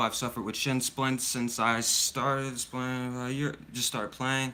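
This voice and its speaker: With an American accent, a man speaks at a medium pitch in a bright, sharp tone, his intonation monotone and flat. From mixed: US military child, raised mainly in Germany. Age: young. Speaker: soccer coach. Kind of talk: live stream Q&A. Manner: casual, halting.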